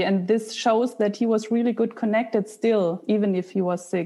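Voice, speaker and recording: A woman with a German accent, fairly high in pitch, with a dark, mellow tone, fairly even intonation and a moderate pace. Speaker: podcast host and mindset coach. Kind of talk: interview.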